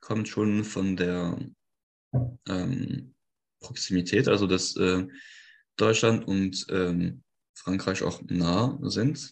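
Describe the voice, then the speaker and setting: A man at a very slow pace, fairly low in pitch, with long, frequent pauses and a quiet background. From France, Lorraine. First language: French (speaking German). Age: 20s. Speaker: electrical engineer. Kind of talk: interview. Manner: halting, many fillers.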